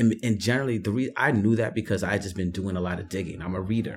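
Very fast and fairly even in intonation, a man speaks with a fairly low pitch. The recording is very clean, with a silent background. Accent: New York. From New York. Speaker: writer and artist. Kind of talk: casual conversation. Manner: reflective, hesitant with fillers.

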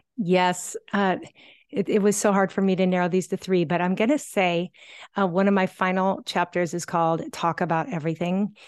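Using an ordinary speaking voice, a woman talks at a medium pitch and moderate pace with ordinary pitch variation and very even loudness. The sound is dry and close with no echo, over a quiet background. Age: 50s. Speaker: parenting author. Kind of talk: podcast interview.

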